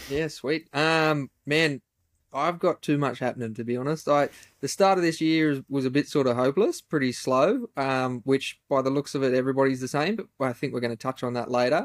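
An Australian-accented man at a fairly high pitch, with ordinary pitch variation, in a very clean recording with a silent background and a dry, close sound with no echo. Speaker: furniture maker and podcast host. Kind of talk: casual chat.

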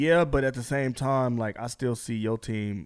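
A man speaks at a fairly slow pace with ordinary pitch variation, on a very clean recording with a silent background. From New York, the Bronx. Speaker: podcast host. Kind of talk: casual chat.

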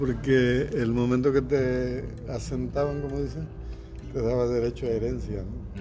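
The recording carries audible room echo. A man speaks at a fairly slow pace. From Mexico, southern Veracruz (Tres Zapotes, Santiago Tuxtla). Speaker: folk musician and band leader. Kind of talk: interview conversation.

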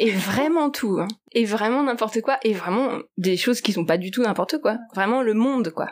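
This woman has a plain, everyday voice, with a fairly high pitch, ordinary pitch variation and a moderate pace. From Paris region, France. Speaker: artist and writer. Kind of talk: interview.

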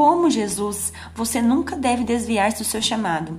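A woman talks at a moderate speed with a fairly high voice, with audible room echo and noticeable background noise in the recording. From interior of São Paulo state, Brazil. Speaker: devotional speaker. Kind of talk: devotional sermon.

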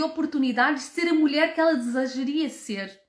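This is a woman speaking. Her pitch is high. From Portugal. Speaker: podcast host, brand founder. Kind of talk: live stream motivational talk. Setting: live stream with viewer comments.

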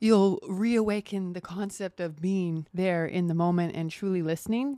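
A woman speaks in a normal speaking voice at medium pitch and a moderate pace, with ordinary pitch variation. The very clean recording has a silent background and a dry, close sound with no echo. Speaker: actress and production designer. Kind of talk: casual chat.

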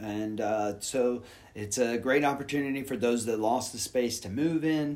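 This is a man with an American accent and an unremarkable speaking voice. He talks at a moderate pace with ordinary pitch variation. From Houston, Texas. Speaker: yoga teacher. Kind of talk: casual interview.

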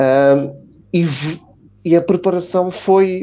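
Ordinary pitch variation shapes a man's dark, mellow tone. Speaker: football commentator. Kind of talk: panel discussion.

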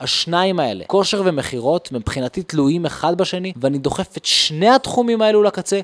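The sound is dry and close, with no echo. A man with a high pitch and lively intonation talks fairly quickly with hardly any pauses. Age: 20s. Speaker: podcast host, real estate entrepreneur. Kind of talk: podcast trailer monologue.

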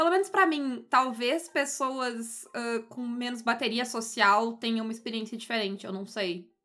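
A woman speaks at a fairly slow pace in a bright, sharp tone at a fairly high pitch. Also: hardly any pauses. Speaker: podcast co-host, tabletop RPG. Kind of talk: casual chat. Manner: louder in everyday speech than co-host.

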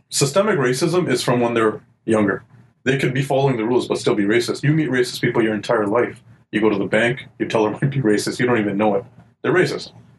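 Talking at a very fast pace, this man has a medium-pitched, somewhat breathy voice with very even loudness and ordinary pitch variation. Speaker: podcast co-host. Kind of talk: casual banter. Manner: joking, laid-back.

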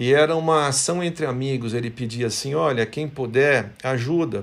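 Recorded very cleanly against a silent background, a man speaks in a somewhat breathy voice. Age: 50s. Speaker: company executive. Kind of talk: motivational company devotional talk.

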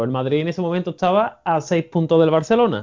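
With ordinary pitch variation and a moderate pace, a man talks in an unremarkable speaking voice. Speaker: football pundit. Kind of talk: casual chat.

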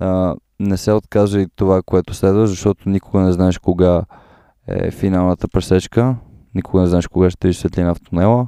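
A man's very deep, low, dark and mellow voice, monotone and flat, at a moderate pace, in a dry, close sound with no echo and a very clean recording with a silent background. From Bulgaria, Sofia. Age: 20s. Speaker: podcaster. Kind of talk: interview.

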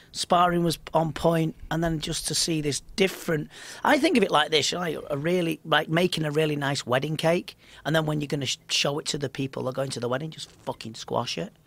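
Pitched fairly high, a man speaks fairly quickly, his pitch varying in an ordinary way. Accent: Liverpool. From Liverpool, England. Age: 40s. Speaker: mind coach and kickboxing commentator. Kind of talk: casual interview chat. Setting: studio.

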